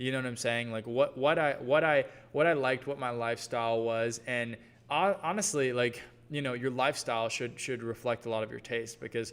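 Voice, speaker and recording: Here a man speaks at a fairly quick pace in a medium-pitched voice with ordinary pitch variation. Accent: slight Southern US. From US South, Georgia. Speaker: brand coach. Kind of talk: live workshop Q&A. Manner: casual, filler-heavy.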